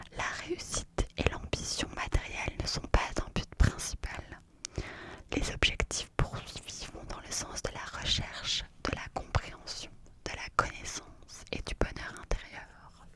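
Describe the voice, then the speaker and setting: Over noticeable background noise, a woman whispers in a soothing tone at a very slow pace. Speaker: ASMR content creator. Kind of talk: ASMR whispered numerology explanation. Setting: close-up studio microphone. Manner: whispered, slow, soothing.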